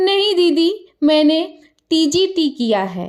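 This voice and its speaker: Doing a put-on character voice, a woman sounds squeaky at an extremely high pitch, with lively intonation. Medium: read story. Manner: playful, quick-witted.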